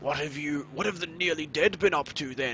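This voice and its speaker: Someone talks in a put-on character voice at a moderate pace, with clear background noise. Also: man. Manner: serious, authoritative.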